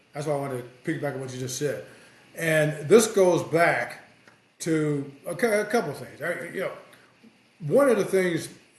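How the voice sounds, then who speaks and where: A man with an American accent talks at a moderate pace in a fairly high pitch, his intonation lively and his loudness swinging widely. Long, frequent pauses break up the speech, and the room echo is audible. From US Midwest, South Bend, Indiana. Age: 60s. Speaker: sports journalist. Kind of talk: casual podcast chat.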